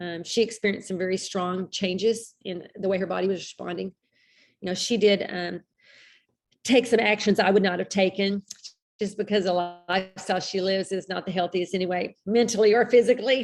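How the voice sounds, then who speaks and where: With an American accent, someone talks at a fairly quick pace and fairly even intonation while music plays in the background. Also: woman, medium pitch for a woman. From Texas. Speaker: health group host. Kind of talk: live Q&A chat. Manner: talkative, rambling.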